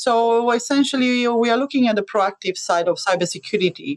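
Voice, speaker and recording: A woman at a moderate pace, in an Eastern European accent. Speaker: cybersecurity adviser. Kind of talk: podcast interview. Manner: hesitant with many fillers.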